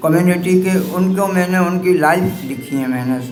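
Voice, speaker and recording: There is audible room echo and noticeable background noise as a man speaks with a high pitch. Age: 70s. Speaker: writer and editor. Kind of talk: acceptance speech. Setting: press club event. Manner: halting.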